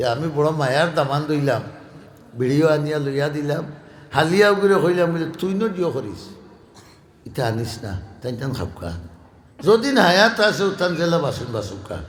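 Room echo is clearly audible. A man with a Sylheti accent swings his pitch very widely. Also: fairly high pitch for a man. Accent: Sylheti Bengali. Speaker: Islamic preacher. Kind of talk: sermon storytelling.

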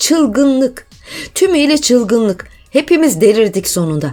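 Over music in the background, a shrill, female-sounding put-on character voice speaks at a moderate pace with a high pitch. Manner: angry, shouting, uncontrolled.

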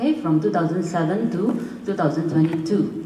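With lively intonation and a fairly low pitch, a woman speaks in a room with audible echo and light background noise. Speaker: assistant professor of accountancy. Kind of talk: panel presentation. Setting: stage with audience. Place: hall. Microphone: pa.

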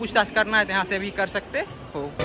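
Very fast speech over crowd noise in the background. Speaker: travel vlogger. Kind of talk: casual vlog chat. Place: station. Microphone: phone near.

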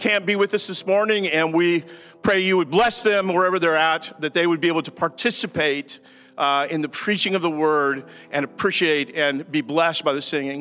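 A man speaks with a bright, sharp tone and ordinary pitch variation. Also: moderate pace. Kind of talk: scripture reading and prayer. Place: church. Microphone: handheld.

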